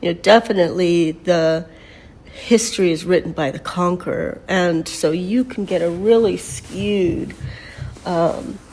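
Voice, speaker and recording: Her pitch varying in an ordinary way, a woman with a fairly low voice talks at a fairly slow pace. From Mexico until age nine, then United States. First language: Spanish. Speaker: painter and spiritual teacher. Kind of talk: personal storytelling monologue. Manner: casual, with many fillers.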